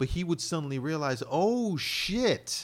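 In a plain, everyday voice, a man speaks at a fairly slow pace with lively intonation. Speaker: podcast host. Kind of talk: casual banter.

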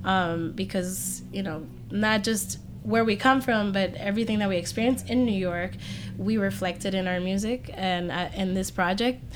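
A woman at a moderate pace with medium pitch and ordinary pitch variation, amid audible room echo. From Puerto Rico. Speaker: musician. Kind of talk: casual chat. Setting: music venue.

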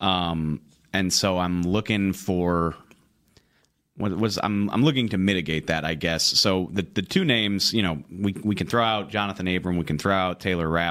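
His pace is moderate. This man's pitch is very deep and low. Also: ordinary pitch variation. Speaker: football team writer and analyst. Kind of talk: sports podcast discussion.

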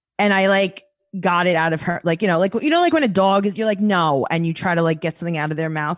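In a New York accent, a woman talks at a very fast pace. Her pitch is fairly low, with ordinary variation. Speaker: podcast guest, podcast host. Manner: animated, comedic storyteller.

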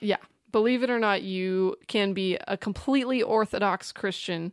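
In a very clean recording with a silent background and a dry, close sound with no echo, a woman with an unremarkable speaking voice talks at a medium pitch and moderate pace with fairly even intonation. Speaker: podcast co-host. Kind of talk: casual chat.

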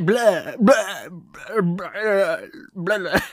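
Someone puts on a character voice that sits fairly high. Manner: mocking, droning impression.

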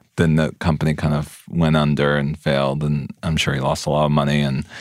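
A man with an American accent speaks at a moderate pace in a very deep, low, monotone voice with flat intonation. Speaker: TV director and screenwriter. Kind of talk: interview.

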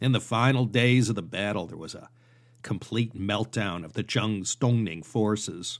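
A man's medium-pitched voice, a plain, everyday voice, at a fairly slow pace. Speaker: podcast host and history narrator. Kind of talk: history documentary narration, scripted-style lecture. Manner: measured, steady storytelling pace; conversational, wry and informal asides.

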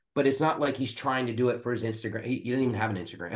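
An American accent over a quiet background. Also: man. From US Northeast, Philadelphia area. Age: 50s. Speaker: pastor. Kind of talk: casual chat.

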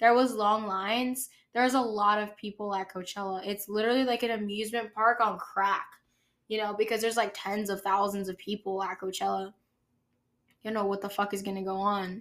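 A woman at a medium pitch, flat and monotone at a fairly quick pace, on a very clean recording with a silent background. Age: 20s. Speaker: podcast host. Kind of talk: casual monologue.

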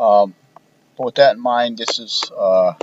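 A man at a fairly slow pace amid noticeable background noise. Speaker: podcast host. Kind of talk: solo podcast monologue. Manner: monotone.

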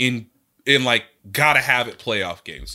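A man speaks loudly in an animated tone, his voice bright and sharp. The recording is very clean, with a silent background. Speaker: sports journalist and podcast co-host. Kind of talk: casual chat. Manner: loud and animated.

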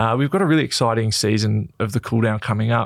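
A man with an Australian accent at a medium pitch and a very fast pace. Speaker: podcast host and footballer. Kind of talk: casual chat.

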